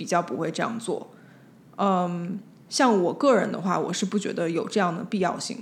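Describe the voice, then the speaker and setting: Speaking at a moderate pace, a woman with a medium-pitched, somewhat breathy voice shows ordinary pitch variation. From Beijing, China. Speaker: designer and spirit medium. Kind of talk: casual chat.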